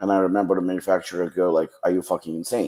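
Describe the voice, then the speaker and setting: With a Ukrainian accent, a man with a very deep, low pitch talks at a very fast pace in fairly even intonation. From western Ukraine. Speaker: supplement brand founder. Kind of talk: podcast interview.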